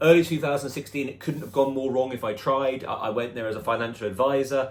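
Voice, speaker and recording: This man speaks with a British accent at a fairly high pitch. His pitch varies in an ordinary way, and his pace is very fast. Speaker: personal trainer. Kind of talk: personal vlog storytelling. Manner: occasional hesitations and repetitions.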